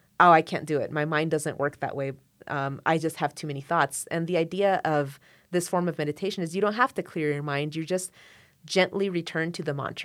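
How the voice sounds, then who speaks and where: With an American accent, a woman talks at a fairly quick pace in a normal speaking voice, her fairly low pitch paired with fairly even intonation on a very clean recording with a silent background. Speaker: violinist and court interpreter. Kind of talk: casual interview conversation.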